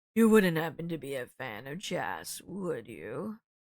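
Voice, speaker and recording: A raspy, put-on character voice sits at a middle pitch. It moves at a fairly slow pace. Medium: game stream. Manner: genial, amused.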